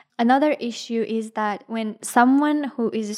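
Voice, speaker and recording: A woman speaks with an Afghan accent. The recording is very clean, with a silent background. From Afghanistan. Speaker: university student and refugee. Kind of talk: personal testimony interview. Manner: hesitant, many filler ums.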